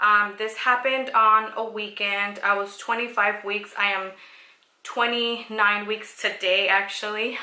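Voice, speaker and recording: Over noticeable background noise and audible room echo, a woman speaks with monotone, flat intonation. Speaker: vlogger sharing pregnancy story. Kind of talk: personal testimony vlog. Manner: hesitant, many fillers.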